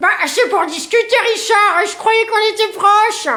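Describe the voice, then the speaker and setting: A woman puts on a character voice at an extremely high pitch, talking at a moderate pace over light background noise. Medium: comedy sketch. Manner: gushing, excitable.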